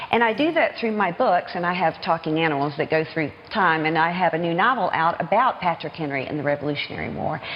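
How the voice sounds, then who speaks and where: Very fast speech in a Southern US accent carries lively intonation over noticeable background noise. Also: woman. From US South, Norfolk, Virginia. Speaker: children's author. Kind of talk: TV news interview.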